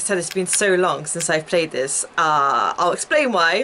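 A woman talks at a moderate pace with light background noise. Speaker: gaming streamer. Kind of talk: casual gameplay commentary. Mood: chatty, a bit flustered. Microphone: headset.

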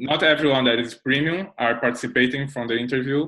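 A man with a Brazilian accent speaks with fairly even intonation against a quiet background. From Brazil, Rio de Janeiro. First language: Portuguese. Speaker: software developer; interviewee. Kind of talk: interview. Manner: halting. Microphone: earbuds.

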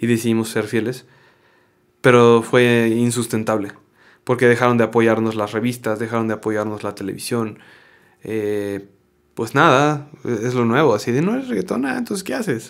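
Over a quiet background, a man of medium pitch talks at a moderate pace with fairly even intonation. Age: 30s. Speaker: actor, voice actor and former band singer; actor, voice actor. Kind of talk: interview conversation. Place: studio. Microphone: studio mic.

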